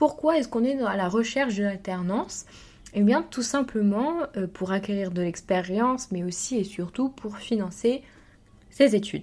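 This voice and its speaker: A woman at a moderate pace, medium pitch and lively intonation. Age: 20s. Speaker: entrepreneur and podcast host. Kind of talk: personal monologue. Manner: halting.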